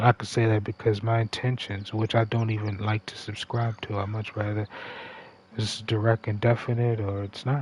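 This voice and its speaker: A man with a fairly low pitch speaks at a moderate pace in a flat monotone, somewhat breathy, in a dry, close sound with no echo. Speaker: gaming livestreamer. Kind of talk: casual livestream monologue. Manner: conversational, halting.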